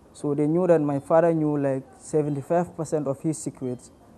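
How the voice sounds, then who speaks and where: Music plays in the background as a man speaks at a moderate pace. His pitch is fairly high and his intonation fairly even. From Gambia. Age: young. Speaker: migrant football player. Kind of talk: documentary interview.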